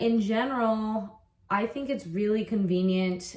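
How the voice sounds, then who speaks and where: A woman's fairly high voice with an American accent, at a very slow pace, over noticeable background noise. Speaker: online English teacher. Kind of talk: casual vlog talk. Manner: casual, with fillers and repetitions.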